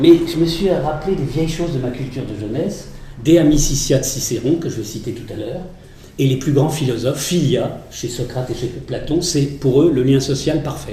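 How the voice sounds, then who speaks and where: Amid noticeable background noise and audible room echo, a man speaks at a moderate pace with a fairly high pitch and ordinary pitch variation. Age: 60s. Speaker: retired teacher and lecturer. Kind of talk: lecture.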